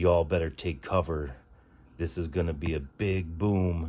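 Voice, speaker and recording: A man puts on a character voice with a very deep, low pitch. He moves at a moderate pace, and the recording is very clean with a silent background. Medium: read story. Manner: crude, hollering showman.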